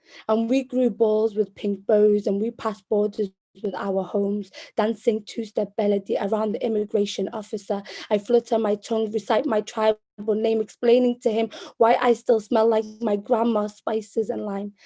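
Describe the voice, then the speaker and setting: In a dry, close sound with no echo, a woman with a fairly high pitch and a dark, mellow tone speaks in a flat monotone at a moderate pace. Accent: Liverpool. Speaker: poet. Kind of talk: spoken word poetry performance.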